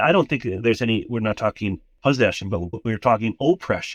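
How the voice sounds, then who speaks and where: A man talks with an Upper Midwest accent. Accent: Upper Midwest American. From US Midwest, southern Minnesota. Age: 60s. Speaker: retired Lutheran pastor. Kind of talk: interview testimony. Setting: phone call while traveling.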